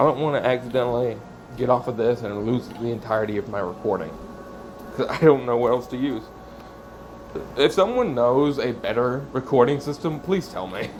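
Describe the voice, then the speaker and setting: Amid noticeable background noise, a man talks at a fairly quick pace in a medium pitch, with ordinary pitch variation and long, frequent pauses. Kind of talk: casual vlog monologue. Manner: rambling, changes voice.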